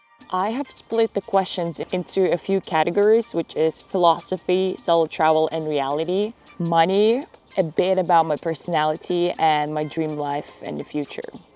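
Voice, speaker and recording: Music plays in the background as a woman talks at a moderate pace, her fairly low voice showing ordinary pitch variation. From Lithuania. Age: 20s. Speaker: travel vlogger. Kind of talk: casual talk to camera. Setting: outdoors.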